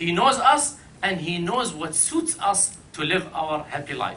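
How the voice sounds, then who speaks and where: Over noticeable background noise and audible room echo, a man with an Arabic accent projects his raised voice at a fairly slow pace, his pitch swinging very widely. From Iraq. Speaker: panel speaker. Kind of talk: panel talk.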